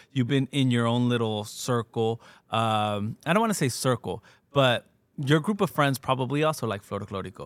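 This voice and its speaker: A man with a Californian accent at a medium pitch and moderate pace, ordinary pitch variation, in a dry, close sound with no echo. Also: very clean recording, silent background. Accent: Californian American English. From Southern California. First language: Spanish. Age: 30s. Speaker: podcast host. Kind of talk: casual interview. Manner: laughs often.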